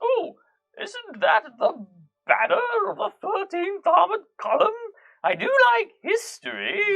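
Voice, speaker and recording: A man uses a put-on character voice at an extremely high pitch. He goes at a fairly slow pace, with long, frequent pauses. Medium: actual play. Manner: gushing, genteel.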